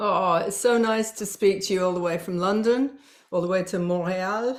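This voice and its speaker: In a British accent, a woman speaks at a medium pitch and a fairly slow pace. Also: very clean recording, silent background. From Yorkshire, northern England (teen years in Toronto). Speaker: spiritual business coach. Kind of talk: interview podcast.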